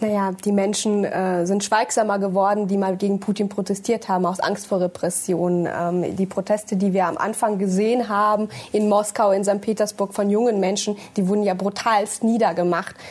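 At a moderate pace with hardly any pauses, a woman speaks at a medium pitch in a monotone, flat intonation and very even loudness. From Germany, born in Russia, moved at six. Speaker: politician. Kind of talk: panel discussion. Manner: hesitant, many fillers.

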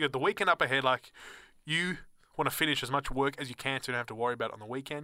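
Very fast and with an Australian accent, a man speaks at a fairly high pitch with ordinary pitch variation and a bright, sharp tone, in a dry, close sound with no echo on a very clean recording with a silent background. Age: 20s. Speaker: student radio co-host. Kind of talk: casual chat. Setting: studio.

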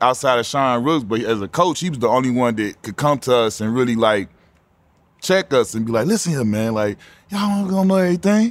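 In a very clean recording with a silent background, a man at medium pitch with an American accent speaks very fast with lively intonation. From Chicago. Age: 40s. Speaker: podcast host, former NBA player. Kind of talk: casual interview. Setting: nightclub venue on location.

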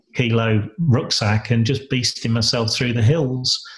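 In a very clean recording with a silent background, a man with a somewhat breathy, medium-pitched voice speaks at a moderate pace with fairly even intonation. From Lincolnshire, England. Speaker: entrepreneur and business mentor. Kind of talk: interview. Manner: halting, with frequent repetitions.

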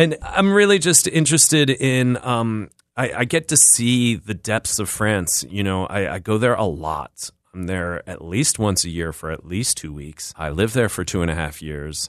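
A man with a Philadelphia accent, fairly low in pitch with very wide pitch swings, at a moderate pace with hardly any pauses, against a quiet background. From US Northeast, West Philadelphia. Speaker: chef and restaurant owner. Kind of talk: interview. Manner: halting.

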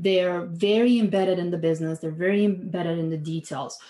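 This woman has a dark, mellow tone at medium pitch. She speaks with an American accent. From outside the US. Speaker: fractional CFO, finance consultant. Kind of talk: interview.

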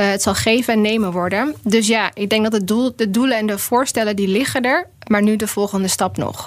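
An unremarkable speaking voice, this woman talks at a fairly quick pace and fairly high pitch with hardly any pauses. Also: fairly even intonation. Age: 30s. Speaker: policy researcher. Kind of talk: casual chat. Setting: studio.

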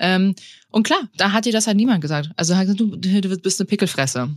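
A woman speaks in an ordinary speaking voice at a medium pitch. Her pace is moderate and her pitch variation ordinary. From Bavaria, Tegernsee area. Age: 30s. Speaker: podcast co-host. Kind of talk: casual chat.

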